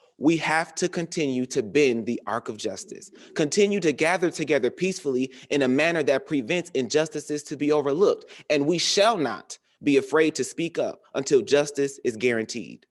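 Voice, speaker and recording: A man with an American accent has an unremarkable speaking voice, a fairly high pitch, lively intonation and a moderate pace. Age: 20s. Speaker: college student and emcee. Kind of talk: spoken word speech at a commemoration program.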